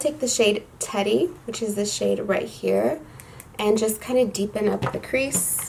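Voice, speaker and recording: A woman with a fairly high pitch talks at a fairly slow pace while noticeable background noise runs underneath. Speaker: beauty youtuber. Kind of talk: makeup tutorial talk to camera. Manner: casual, chatty.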